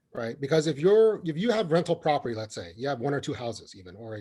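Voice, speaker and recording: A man with an American accent speaks in a fairly high, somewhat breathy voice that has a dark, mellow tone and very wide pitch swings. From US, California Bay Area (refugee from Vietnam as toddler). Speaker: county assessor. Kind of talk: webinar Q&A answer. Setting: online webinar. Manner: conversational, frequent fillers and repetitions.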